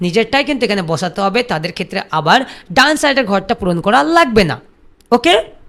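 A man's high-pitched voice has a bright, sharp tone and very wide pitch swings. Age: 30s. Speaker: YouTube tutorial creator. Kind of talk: tutorial.

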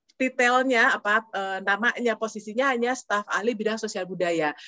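A woman speaks at a moderate pace with a fairly high pitch and ordinary pitch variation, recorded dry with no echo against a quiet background. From Bandung, West Java, Indonesia. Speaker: diplomat. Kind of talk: interview. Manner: halting. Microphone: video call.

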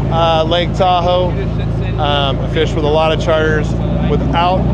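A man at a moderate pace, with a dry sound with no echo and loud background noise. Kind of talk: casual vlog chat. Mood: cheerful, enthusiastic. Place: boat. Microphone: phone near.

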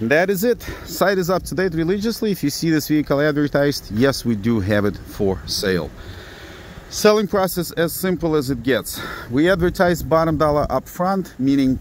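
At a moderate pace, the voice swings very widely in pitch, with a dry, echo-free sound and light background noise. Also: man. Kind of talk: sales walkaround commentary. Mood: blunt, matter-of-fact. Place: street. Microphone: phone near.

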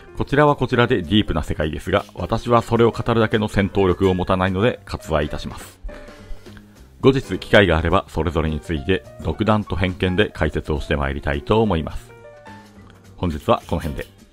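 A man's very deep, low voice, calm in tone and fairly quick, with lively intonation and music in the background. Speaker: bartender. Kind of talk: educational narration. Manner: calm, polite.

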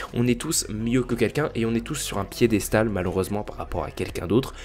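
Noticeable background noise accompanies a voice whose pitch varies in an ordinary way. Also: man. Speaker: gaming YouTuber. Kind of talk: solo podcast monologue. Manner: hesitant, many fillers.

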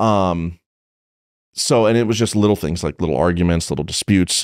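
A man's very deep, low voice at a very fast pace, dry with no echo, against a quiet background. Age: 30s. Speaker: police officer; podcast guest. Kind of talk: casual chat. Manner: animated. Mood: candid, some swearing. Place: studio. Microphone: studio mic.

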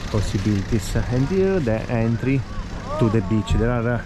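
Noticeable background noise sits behind the recording. A man speaks at a fairly slow pace. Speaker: travel vlogger guide. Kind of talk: casual walking tour commentary. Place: beach. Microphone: phone near.

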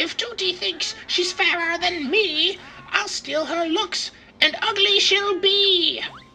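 Clear music plays in the background as a man does a put-on character voice. His pitch is extremely high and his pace fairly slow. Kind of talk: comic game voice imitation. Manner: boastful, rhymes every line.

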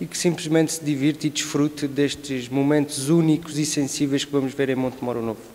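The man's intonation stays monotone and flat. He keeps to a moderate speed. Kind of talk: interview answer. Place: hall. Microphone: handheld.

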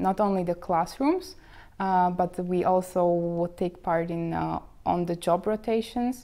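With a Slovak accent, a woman speaks at a very slow pace and a fairly low pitch, with fairly even intonation and a dark, mellow tone. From Slovakia. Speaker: bank trainee. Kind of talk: interview. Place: office. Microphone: lapel.

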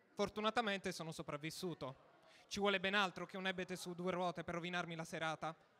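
A raised, projected voice with a bright, sharp tone at a fairly quick pace. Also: man. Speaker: stand-up comedian. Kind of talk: stand-up comedy, scripted-sounding monologue. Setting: stage with audience. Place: stage. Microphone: handheld.

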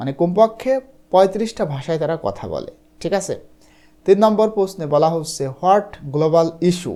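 This man's high-pitched voice carries a dark, mellow tone. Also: ordinary pitch variation. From Bangladesh, Chuadanga district. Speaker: English tutor. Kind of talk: online lesson tutorial.

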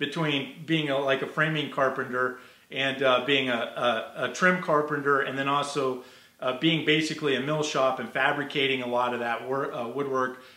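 There is audible room echo as a man talks at a fairly quick pace with fairly even intonation. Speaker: guest. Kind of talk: interview answer. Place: workshop. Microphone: earbuds.

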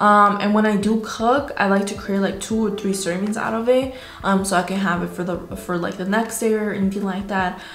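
A woman with a medium-pitched voice talks at a fairly quick clip, with hardly any pauses. Light background noise and audible room echo surround her. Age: 20s. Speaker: fitness vlogger. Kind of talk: casual talk to camera. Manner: upbeat. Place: home room. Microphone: phone near.

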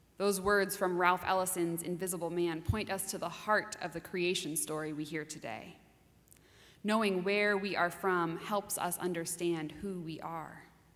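At a moderate pace, a woman talks in a fairly low pitch with fairly even intonation. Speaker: minister giving a sermon. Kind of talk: sermon delivered to a congregation. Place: church. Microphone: podium.

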